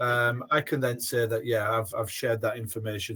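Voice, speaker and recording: A man with a Yorkshire accent, somewhat breathy, at a fairly quick pace. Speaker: former head teacher, education software presenter. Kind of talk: webinar product demonstration. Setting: online webinar.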